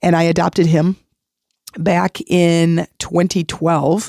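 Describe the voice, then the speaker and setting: A woman speaks at a fairly low pitch in a monotone, flat intonation with a dark, mellow tone. The sound is dry and close, with no echo. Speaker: podcast host. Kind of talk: motivational talk. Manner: casual, warm.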